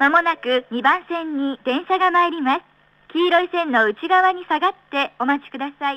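A woman speaks at an extremely high pitch with ordinary pitch variation. Her pace is moderate, and her loudness swings widely. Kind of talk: train station platform announcement. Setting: PA system.

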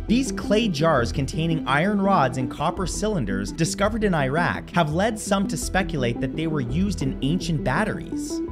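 Moderate-paced speech with hardly any pauses over clear background music. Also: man. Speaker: online video host. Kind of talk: educational commentary. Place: home room.

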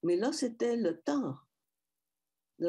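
With a Quebec accent, a woman speaks in a dark, mellow tone with lively intonation. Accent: Canadian French. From Métis francophone Canada. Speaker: panelist. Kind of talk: personal talk. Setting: video call. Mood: calm, reflective. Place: home room. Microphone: headset.

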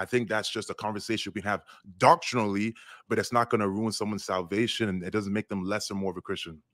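A man talks very fast at a fairly low pitch with fairly even intonation. The sound is dry and close with no echo, on a very clean recording with a silent background. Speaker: online discussion participant. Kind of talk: casual discussion.

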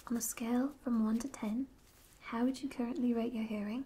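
Soft-spoken delivery at a moderate pace. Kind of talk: soft clinical questions to the viewer. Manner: soft, hushed ASMR speaking voice.

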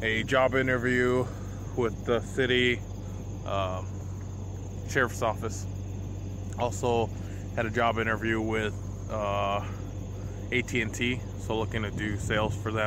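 Monotone, flat delivery at a fairly slow pace, with long, frequent pauses, noticeable background noise and a dry sound with no echo. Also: man, fairly low pitch for a man. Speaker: vlogger. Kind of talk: casual vlog chat. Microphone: phone near.

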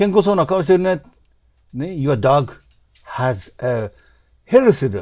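Speaking at a very slow pace with long, frequent pauses, a man swings his pitch very widely over a quiet background. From Japan. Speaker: English teaching author; English teacher. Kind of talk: lecture. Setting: home study. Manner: halting, many fillers. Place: home room. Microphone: webcam.

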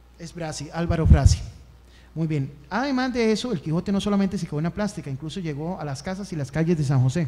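Speaking very fast with a Costa Rican accent, a man uses a high pitch and lively intonation. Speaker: history tutor; speaker. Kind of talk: lecture. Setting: stage with audience. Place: meeting room.

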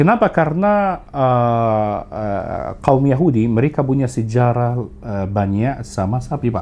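Lively intonation marks a man's very slow delivery, which has a dark, mellow tone and hardly any pauses. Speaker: tour operator; podcast guest, tour vendor. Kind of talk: casual interview. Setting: studio. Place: studio. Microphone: studio mic.

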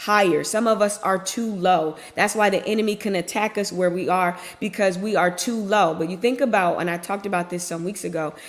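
A woman at a fairly quick pace, fairly even in intonation, with hardly any pauses. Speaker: faith content creator. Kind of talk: devotional message, casual sermon. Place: office. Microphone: webcam.

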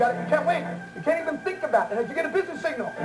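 Clear music sits in the background as a man speaks. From Orlando, Florida, USA. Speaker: televangelist preacher. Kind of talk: televangelist telethon fundraising appeal. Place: studio.

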